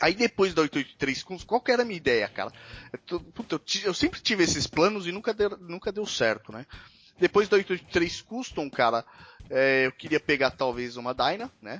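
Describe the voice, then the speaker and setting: A man speaks at a moderate pace with a high pitch. His pitch swings very widely. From São Paulo state, Brazil (São Paulo city, then Mogi Mirim). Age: 30s. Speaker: motorcycle podcast host. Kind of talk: casual chat. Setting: remote call.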